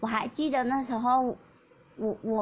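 Her voice somewhat breathy, a woman talks at a moderate pace with ordinary pitch variation. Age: 20s. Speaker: podcast host, university student. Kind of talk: personal storytelling monologue. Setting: recording lying in bed at home. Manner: hesitant, many fillers.

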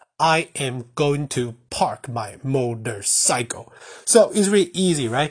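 A speaker with a Mandarin accent. The voice is somewhat breathy. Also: man. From Taiwan. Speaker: language teacher. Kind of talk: tutorial. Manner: halting.

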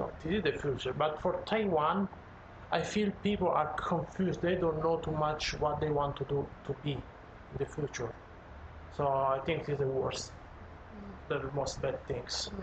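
A man at a fairly high pitch and a fairly slow pace, with long, frequent pauses, very even loudness and noticeable background noise. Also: ordinary pitch variation. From Italy. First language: Italian (speaking Chinese). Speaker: chef. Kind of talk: casual chat. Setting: home living room.

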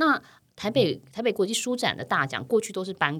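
Vocal fry runs through fairly quick speech in a very clean recording with a silent background. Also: woman. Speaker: podcast host. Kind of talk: interview.

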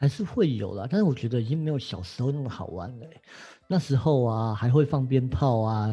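Against a silent background in a very clean recording, a man speaks at a medium pitch with ordinary pitch variation. His voice is somewhat breathy, with a dark, mellow tone. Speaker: astrology teacher. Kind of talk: casual chat.

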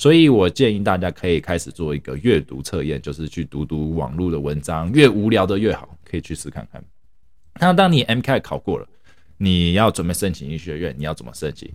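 With a very deep, low pitch and vocal fry, a man speaks at a fairly quick pace, his intonation lively and his loudness swinging widely. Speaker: podcast host, doctor in the US. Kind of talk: casual monologue.

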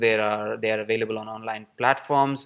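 At a moderate pace, a man talks with ordinary pitch variation and a normal speaking voice. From Pakistan, Karachi. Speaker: theatre artist. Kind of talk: recorded voice message.

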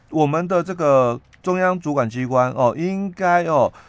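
A man talks very slowly in a fairly high voice. His intonation is lively. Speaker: labor relations expert. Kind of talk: explanatory talk on labor law. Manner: many filler particles.

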